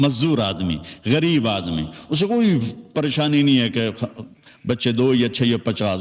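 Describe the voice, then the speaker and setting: A man speaks in a plain, everyday voice at medium pitch. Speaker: Islamic preacher / religious scholar. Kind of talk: religious sermon (bayan). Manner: conversational, folksy, addressing audience.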